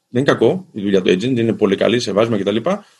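This is a man speaking. His intonation is lively. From Greece. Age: 40s. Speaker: sports federation executive. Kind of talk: interview. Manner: formal.

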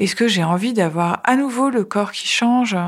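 A woman is heard. Her pitch moves in an ordinary way. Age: 40s. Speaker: journalist sharing cancer testimony. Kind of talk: testimony. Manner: hesitant, many filler sounds.

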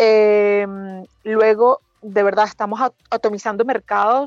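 Over music in the background, a woman with a fairly high pitch speaks in a dry, close sound with no echo. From Venezuela, Margarita Island. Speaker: hospitality and wine promoter, former lawyer. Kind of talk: casual interview. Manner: fast.

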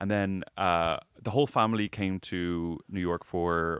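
A man with an American accent speaks at a very deep, low pitch with fairly even intonation. The recording is very clean, with a silent background. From Ireland. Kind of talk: casual chat. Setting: recording studio.

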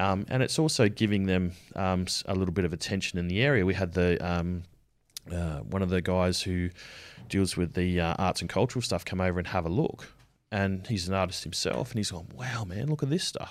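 Someone with an Australian accent talks at a fairly quick pace with ordinary pitch variation, in a very clean recording with a silent background. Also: man, very deep, low pitch for a man. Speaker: army veteran and painter. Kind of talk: interview. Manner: halting, many filler words.

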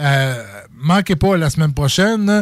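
A man at a very slow pace with very wide pitch swings, on a very clean recording with a silent background. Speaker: radio host. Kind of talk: casual chat. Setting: radio studio.

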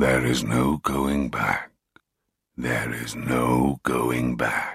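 In a put-on character voice, a man speaks raspy and very deep, at a very slow pace with monotone, flat intonation.

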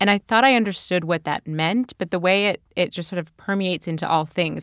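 A woman with a Canadian accent talks at a very fast pace. The sound is dry and close with no echo, on a very clean recording with a silent background. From Canada. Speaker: podcast executive producer and guest host. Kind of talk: casual chat.

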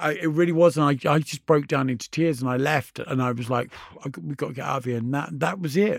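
A man with a British accent speaks at a fairly quick pace, medium in pitch with ordinary pitch variation, on a very clean recording with a silent background. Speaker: DJ and author. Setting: studio.

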